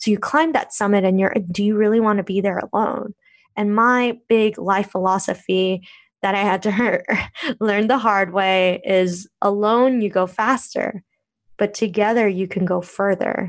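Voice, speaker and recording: Against a quiet background, a woman with an American accent speaks at a medium pitch and fairly slow pace with fairly even intonation, in an unremarkable speaking voice. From United States (Korean American). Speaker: blogger and podcaster. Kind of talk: interview conversation.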